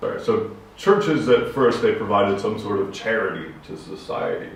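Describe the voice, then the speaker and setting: A man speaks at a moderate pace with big swings in loudness, audible room echo and noticeable background noise. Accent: American. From USA. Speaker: podcast co-host. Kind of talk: casual discussion.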